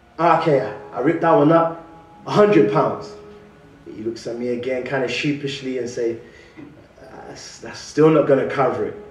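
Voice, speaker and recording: With faint music in the background and audible room echo, a man with a fairly high pitch talks at a moderate pace, using ordinary pitch variation, big swings in loudness, and long, frequent pauses. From London. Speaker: guest preacher. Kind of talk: sermon. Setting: church. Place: church. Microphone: podium.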